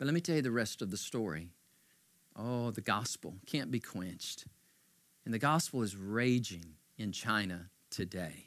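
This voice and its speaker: Speaking at a moderate pace with long, frequent pauses, a man uses a fairly low pitch, lively intonation and an animated tone. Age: 50s. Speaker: pastor. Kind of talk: sermon. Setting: church livestream.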